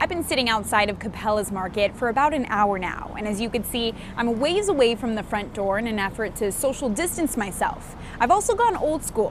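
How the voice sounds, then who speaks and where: A woman's fairly high, lively voice with an American accent, fairly quick, over noticeable background noise. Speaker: TV news anchor and reporter. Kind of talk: television news reporting. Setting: on-location field reports and studio anchoring.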